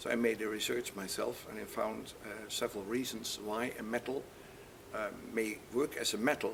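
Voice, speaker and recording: A man's speech keeps a moderate pace while noticeable background noise runs underneath. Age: 70s. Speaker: audio equipment manufacturer. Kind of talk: interview. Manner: halting.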